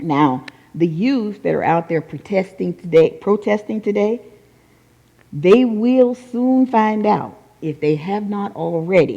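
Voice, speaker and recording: Using an unremarkable speaking voice, a woman with an American accent speaks at a fairly slow pace, her medium pitch carried by lively intonation. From North Carolina, US South. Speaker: Unity teacher. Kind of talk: sermon.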